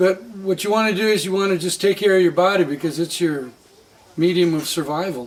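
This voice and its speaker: Over noticeable background noise, a man speaks at a fairly quick pace. His pitch is high. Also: ordinary pitch variation. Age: 60s. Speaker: coffee farmer. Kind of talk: interview.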